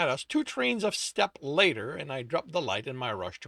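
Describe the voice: Here a speaker reads aloud in a plain manner.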